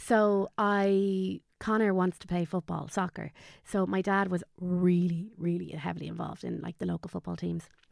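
A woman with a Dublin accent talks with hardly any pauses. The sound is dry and close with no echo, in a very clean recording with a silent background. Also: moderate pace. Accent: Dublin Irish. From Dublin, Ireland. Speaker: guest, online content creator. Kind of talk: casual interview, emotional storytelling.

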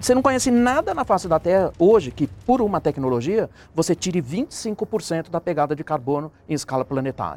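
A man with a high-pitched voice talks at a moderate pace with hardly any pauses, his pitch swinging very widely. The sound is dry and close, with no echo. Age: 60s. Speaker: professor. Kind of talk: panel discussion.

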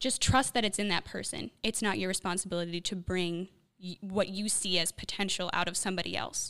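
Speaking at a fairly quick pace with a Chicago accent, a woman uses a medium pitch, fairly even intonation and a bright, sharp tone. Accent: Chicago American. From US Midwest, Chicago. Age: 20s. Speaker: young guest from discipleship program. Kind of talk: casual chat. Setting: studio.

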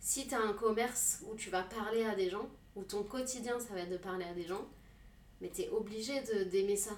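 The speaker is a woman with a medium pitch and fairly even intonation, talking at a moderate pace. Room echo is audible. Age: 30s. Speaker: tattoo artist. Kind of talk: casual chat.

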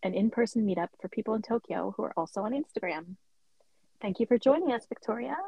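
A woman's fairly quick, somewhat breathy voice, fairly high in pitch, with lively intonation. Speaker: podcast host. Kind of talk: casual interview chat. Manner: warm, animated.

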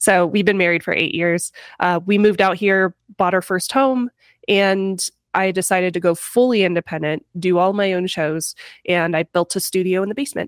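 With a plain, everyday voice and an American accent, a woman speaks at a moderate pace and medium pitch with ordinary pitch variation, the sound dry, close and free of echo in a very clean recording with a silent background. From US Midwest, Missouri. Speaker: tech YouTuber. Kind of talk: casual chat.

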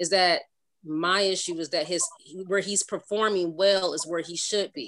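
An ordinary speaking voice from a woman with an American accent, at medium pitch and moderate pace, with ordinary pitch variation. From Cleveland, Ohio. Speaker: sports fan guest, mother of football players. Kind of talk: casual chat.

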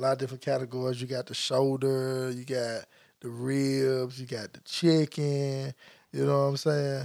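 A man with a Memphis accent talks at a moderate pace in a medium pitch. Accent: Southern US (Memphis). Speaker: podcast co-host. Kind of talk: casual chat. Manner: animated.

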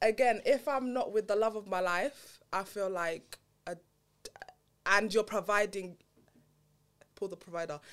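A woman talks at a moderate pace in a London accent. She leaves long, frequent pauses. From Southeast London. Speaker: podcast guest. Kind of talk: casual chat.

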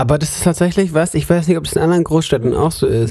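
A man with a fairly high pitched voice and lively intonation. His tone is dark and mellow, somewhat breathy. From Germany, Munich. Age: 20s. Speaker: podcast co-host, theology student. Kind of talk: casual chat.

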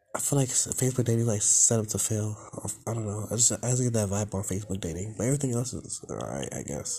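Over noticeable background noise, a man with a fairly low pitch talks at a very fast pace with ordinary pitch variation. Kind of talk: personal vent, solo video diary. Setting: YouTube video. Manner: halting, filler-heavy, low energy.

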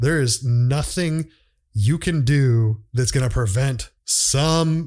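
A man's somewhat breathy voice sits at a medium pitch, with pitch movement that is ordinary. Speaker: podcast host. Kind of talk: casual monologue. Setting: solo podcast recording. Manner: halting, many fillers.

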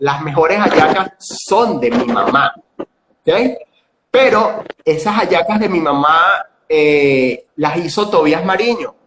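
A very slow, high-pitched man with lively intonation and long, frequent pauses. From Venezuela, Cojedes state. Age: 40s. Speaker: tourism and gastronomy educator. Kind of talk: interview.

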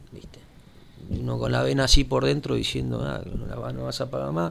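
A man talks at a very fast pace with a Rioplatense accent. His intonation is lively. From Buenos Aires, Argentina. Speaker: local political activist. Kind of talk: interview. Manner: halting.

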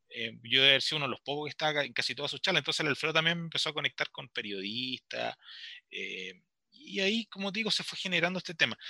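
This man has a fairly high pitch, a bright, sharp tone, vocal fry and lively intonation at a very fast pace. The sound is dry and close with no echo, on a very clean recording with a silent background. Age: 40s. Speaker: literature teacher and author. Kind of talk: radio interview.

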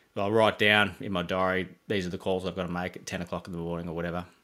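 Monotone, flat delivery with a bright, sharp tone, in an Australian accent. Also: man. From Geelong, Victoria, Australia. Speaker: landscape designer and business owner. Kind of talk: casual interview chat. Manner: mumbling, relaxed.

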